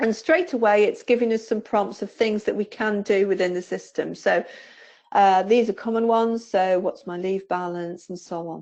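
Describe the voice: With a medium pitch and a slightly mellow tone, a woman speaks at a moderate pace using fairly even intonation.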